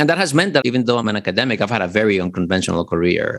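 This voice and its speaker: A man talks at a very fast pace with ordinary pitch variation, on a very clean recording with a silent background. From Dominican Republic. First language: Spanish. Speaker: literature lecturer. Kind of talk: interview conversation.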